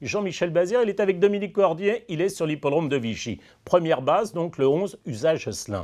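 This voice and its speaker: Against a quiet background, a man with a high pitch speaks at a fairly quick pace, his tone confident and his intonation lively. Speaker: horse racing tipster host. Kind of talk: race preview with tips, analytical commentary on runners and bets. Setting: studio. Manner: fluent, measured, confident and informative. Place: studio.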